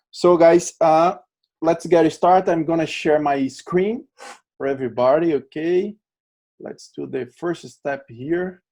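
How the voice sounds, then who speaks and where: A man speaks at a fairly slow pace in a strong Brazilian accent. His high voice has a dark, mellow tone and ordinary pitch variation. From Brazil, Natal, Rio Grande do Norte. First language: Portuguese. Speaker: LinkedIn trainer. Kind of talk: webinar presentation.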